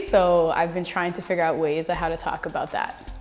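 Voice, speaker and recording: A woman speaks at a fairly quick pace with a Canadian accent. Music plays in the background. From Canada. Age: young. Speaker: spoken word poet. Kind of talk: interview answer. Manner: casual, conversational.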